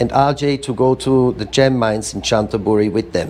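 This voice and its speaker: Here is a man with an unremarkable speaking voice at a medium pitch. He keeps a moderate pace and ordinary pitch variation. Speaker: museum founder and curator. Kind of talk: spoken word reading of letters. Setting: live event.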